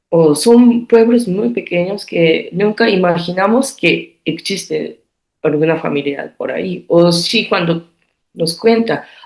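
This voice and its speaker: With a Japanese accent and a medium pitch, a woman talks very slowly with lively intonation and vocal fry. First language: Japanese (speaking Spanish). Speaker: artist. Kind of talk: interview. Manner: halting.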